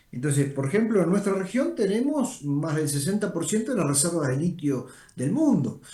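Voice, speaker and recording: A man speaks at a moderate pace in a high voice with a dark, mellow tone. His pitch swings very widely. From Uruguay. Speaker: energy organization director. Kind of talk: interview.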